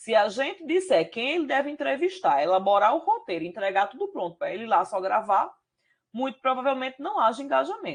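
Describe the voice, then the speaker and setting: Talking at a fairly quick pace, a woman uses a high pitch with very wide pitch swings. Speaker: university professor. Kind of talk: lecture.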